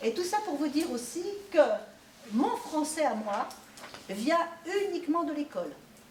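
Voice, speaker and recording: The delivery is fairly slow, with very wide pitch swings and long, frequent pauses. Noticeable background noise sits behind it. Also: woman, high pitch for a woman. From France (born in Italy, arrived at four). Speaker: author visiting a school class. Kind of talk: talk to pupils with questions and answers. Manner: hesitant, many fillers.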